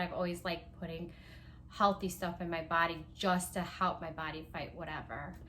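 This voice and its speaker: Speaking at a moderate pace, a woman talks with a Palauan accent. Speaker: small business owner. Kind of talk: casual vlog talk. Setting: at home. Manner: casual, many fillers.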